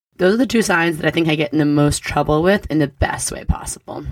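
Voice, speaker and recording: Very deep, low pitch from a woman, with vocal fry, an animated tone, lively intonation and a very fast pace. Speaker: astrology podcast host. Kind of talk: weekly astrology forecast monologue. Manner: casual.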